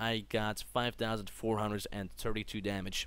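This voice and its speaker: A man speaks with a non-native accent at a medium pitch. His tone is bright and sharp. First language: not English. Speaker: gaming youtuber. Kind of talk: gameplay commentary. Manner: casual, with fillers and self-corrections.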